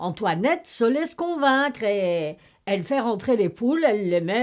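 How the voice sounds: A natural reading voice carries lively intonation.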